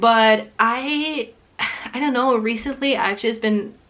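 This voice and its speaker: Fairly slow female speech with ordinary pitch variation. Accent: Ukrainian. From Ukraine. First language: not English (Ukrainian or Russian). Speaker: booktuber. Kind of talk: casual vlog talk to camera. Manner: casual, with fillers.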